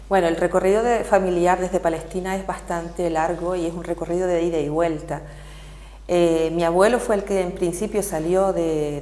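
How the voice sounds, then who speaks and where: Over noticeable background noise, a woman with a Canarian accent speaks at a moderate pace and a fairly low pitch. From Canary Islands. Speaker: activist. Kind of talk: TV interview.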